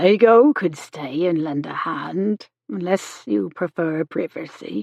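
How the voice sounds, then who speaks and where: A woman puts on a raspy character voice pitched fairly low. She moves slowly through it at a fairly slow pace with very wide pitch swings. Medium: read story. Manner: brisk, homely, motherly.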